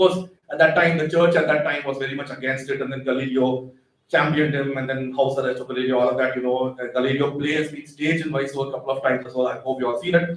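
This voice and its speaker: In a room with audible echo, a man talks very fast with fairly even intonation and big swings in loudness. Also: fairly high pitch for a man. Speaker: astrophysicist giving public science talk. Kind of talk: public lecture.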